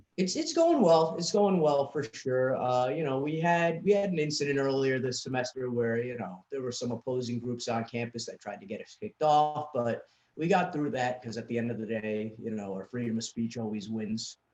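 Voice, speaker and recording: Speaking in a New York accent at a moderate pace with hardly any pauses, a man uses medium pitch and lively intonation. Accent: New York accent, noticeable. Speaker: student political club leader. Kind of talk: casual interview chat.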